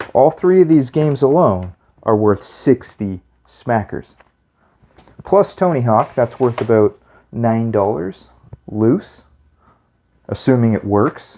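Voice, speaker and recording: A quiet, dark, mellow tone with lively intonation at a very slow pace, broken by long, frequent pauses. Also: man, medium pitch for a man. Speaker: retro gaming youtuber. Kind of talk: casual video monologue. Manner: quieter, keeping voice down.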